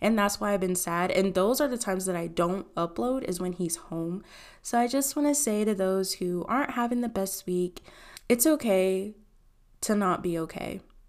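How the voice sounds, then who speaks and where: Lively intonation moves along at a moderate pace on a very clean recording with a silent background. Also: woman, medium pitch for a woman. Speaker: podcast host. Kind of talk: casual monologue.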